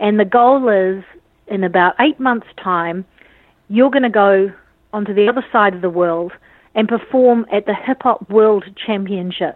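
A woman speaks in a New Zealand accent at a medium pitch. Her pace is fairly slow. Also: ordinary pitch variation. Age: 40s. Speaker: dance academy founder. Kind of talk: interview.

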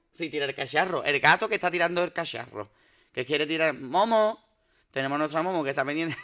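A man's very fast speech at a fairly high pitch, with ordinary pitch variation and a bright, sharp tone. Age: 30s. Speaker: podcast host. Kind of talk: casual chat. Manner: animated.

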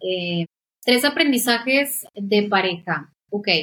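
A woman is speaking. Her pace is very slow. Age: 30s. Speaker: graphic designer. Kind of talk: casual chat.

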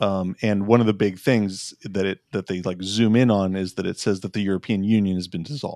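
A man with an ordinary speaking voice and a fairly low pitch talks at a fairly quick pace, the sound dry and close with no echo. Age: 40s. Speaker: podcast co-reviewer. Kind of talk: casual chat.

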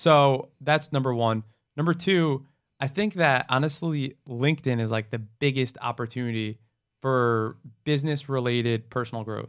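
Recorded very cleanly against a silent background, this unremarkable speaking voice with an American accent moves at a moderate pace with ordinary pitch variation. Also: man, medium pitch for a man. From New Jersey. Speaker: marketing agency founder. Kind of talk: casual chat.

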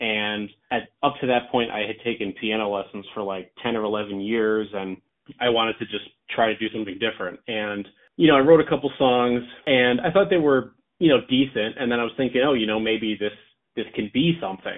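A man with a plain, everyday voice, medium pitch and ordinary pitch variation, at a fairly quick pace. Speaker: songwriter and vocalist. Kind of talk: interview answers, casual chat.

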